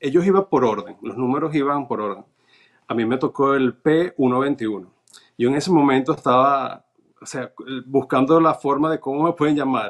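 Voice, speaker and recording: Over a quiet background, a man speaks at a fairly high pitch and a moderate pace, with ordinary pitch variation. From Venezuela. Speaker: naturalization applicant, cruise ship worker; interview guest. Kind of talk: interview, personal testimony; interview answer. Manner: halting, frequent fillers and repetitions. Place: home room. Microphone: video call.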